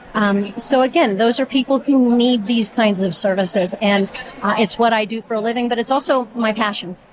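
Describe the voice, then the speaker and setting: Ordinary pitch variation marks a woman's fairly high voice at a moderate pace. Noticeable background noise can be heard. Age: 60s. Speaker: physical therapist, volunteer reader. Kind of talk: interview.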